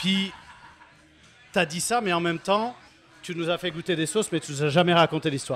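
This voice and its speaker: With music in the background, a man speaks at a high pitch. He takes long, frequent pauses. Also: ordinary pitch variation, moderate pace. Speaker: brewer, audience member. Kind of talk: audience question. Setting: stage with audience at beer festival.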